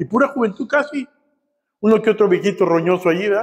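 A man speaks in a high pitch with lively intonation and an animated tone. The background is quiet. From Matamoros, Mexico; Mexico. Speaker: pastor; preacher. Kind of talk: sermon. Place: church.

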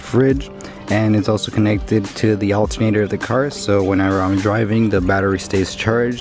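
With clear music in the background, a man with a fairly low pitch speaks at a fairly quick pace and fairly even intonation, the sound dry with no echo. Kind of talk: casual vlog tour. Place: car. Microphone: phone near.

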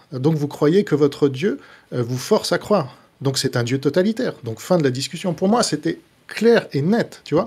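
Somewhat breathy and fairly high, a man's voice carries lively intonation at a moderate pace on a very clean recording with a silent background. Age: 40s. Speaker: author and critic of religion. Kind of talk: casual live discussion.

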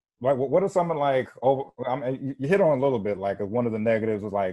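Over a quiet background, a man in a Carolina accent speaks with ordinary pitch variation. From South Carolina (Spartanburg); South Carolina. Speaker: podcast host. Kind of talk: casual chat. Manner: halting, many fillers and restarts. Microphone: earbuds.

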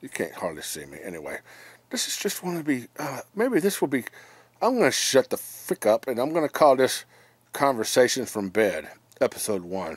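A quiet man's voice with vocal fry and very wide pitch swings, at a moderate pace, in a dry sound with no echo. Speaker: vlogger. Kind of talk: casual vlog chat. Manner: quiet, drowsy voice from bed. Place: home room. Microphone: phone near.

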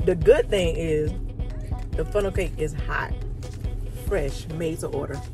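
A woman speaks at a fairly slow pace. Clear music plays in the background, and the sound is dry with no echo. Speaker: food reviewer. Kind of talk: casual vlog chat. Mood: relaxed, pleased. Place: car. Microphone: phone near.

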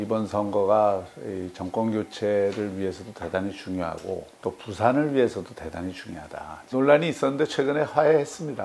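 A man talks at a moderate pace with fairly low pitch, lively intonation and hardly any pauses. His loudness swings widely, with light background noise. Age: 60s. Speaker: politician. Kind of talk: interview answer. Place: meeting room. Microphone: lapel.

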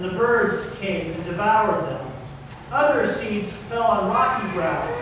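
Pitched high, a man talks at a fairly slow pace amid strong room echo and noticeable background noise. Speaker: pastor. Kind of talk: scripture reading. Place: church.

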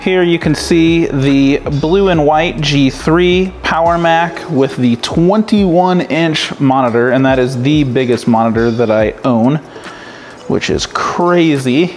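Over light background noise, a man speaks at a very slow pace with ordinary pitch variation. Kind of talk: casual tour narration. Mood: enthusiastic. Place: home room. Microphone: phone near.

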